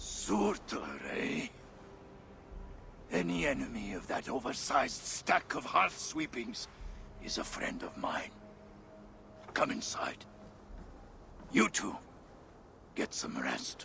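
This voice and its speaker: A man talks in a put-on character voice at a fairly slow pace, with long, frequent pauses. Background noise is clearly heard. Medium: video game. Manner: blunt, coarse, jocular.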